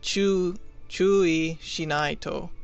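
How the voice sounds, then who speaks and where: With fairly even intonation, a man talks while music plays behind him. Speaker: language learner explaining game dialogue. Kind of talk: casual commentary to viewers. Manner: hesitant, stuttering.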